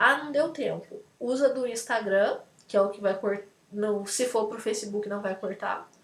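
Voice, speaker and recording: Ordinary pitch variation and a moderate pace in a woman's voice. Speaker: lecturer. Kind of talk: lecture. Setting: video call.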